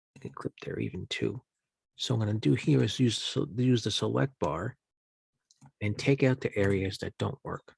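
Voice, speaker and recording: Somewhat breathy and lively in intonation, the voice moves at a moderate pace in dry, close sound with no echo. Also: man, fairly low pitch for a man. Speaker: journalism instructor. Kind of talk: tutorial.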